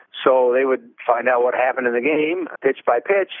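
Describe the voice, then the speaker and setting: A man's voice, medium in pitch, moves along at a moderate speed. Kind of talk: interview reminiscence. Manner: halting, sometimes loses train of thought.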